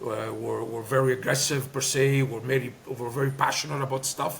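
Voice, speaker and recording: With a Greek accent, a man talks at a moderate pace with fairly even intonation and medium pitch over noticeable background noise. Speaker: former soccer player and coach. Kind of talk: interview. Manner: hesitant, many fillers.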